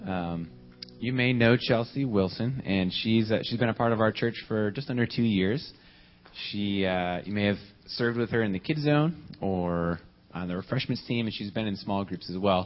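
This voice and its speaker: At a moderate pace, a man with a normal speaking voice talks in a fairly low pitch with ordinary pitch variation. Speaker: church announcer. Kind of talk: announcement. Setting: church.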